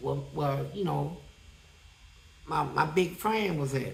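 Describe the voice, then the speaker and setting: Noticeable background noise runs under this recording. The man on it speaks at a moderate pace. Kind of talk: casual, profane slang. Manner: rambling storyteller.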